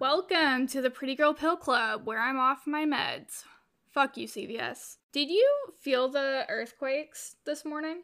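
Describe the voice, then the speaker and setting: At a fairly slow pace, a woman talks with a high pitch and ordinary pitch variation. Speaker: podcast host. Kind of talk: casual chat. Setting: call.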